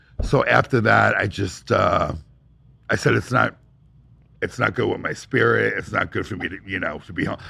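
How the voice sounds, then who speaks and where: With an American accent, a man talks at a moderate pace and leaves long, frequent pauses. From California. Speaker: fashion store owner. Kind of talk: interview, personal story.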